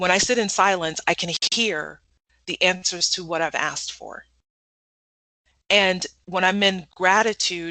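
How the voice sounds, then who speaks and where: A woman speaks in an animated tone. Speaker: motivational speaker and life coach. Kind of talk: podcast interview. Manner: loud.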